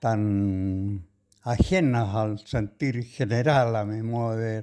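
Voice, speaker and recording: Speaking at a very slow pace, a man has a dark, mellow tone on a very clean recording with a silent background. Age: 90s. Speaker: poet. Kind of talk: radio interview. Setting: at the guest's home. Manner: halting.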